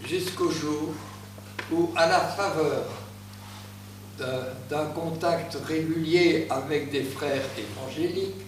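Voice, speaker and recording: Very slow speech from a fairly high-pitched man, with long, frequent pauses, audible room echo and noticeable background noise. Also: ordinary pitch variation. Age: 80s+. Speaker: churchgoer giving testimony. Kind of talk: testimony. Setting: church gathering, speaking without microphone. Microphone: no microphone.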